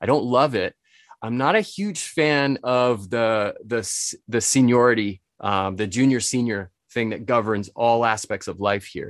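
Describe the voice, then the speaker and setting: Against a quiet background, a man talks at a fairly slow pace with a medium pitch and ordinary pitch variation. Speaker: spirits importer and author. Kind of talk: interview.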